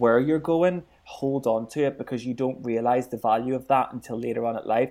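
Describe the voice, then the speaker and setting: The speaker has a Northern Irish accent and fairly even intonation. The recording is very clean with a silent background. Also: man. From Northern Ireland. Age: 20s. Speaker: radio presenter. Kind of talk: interview.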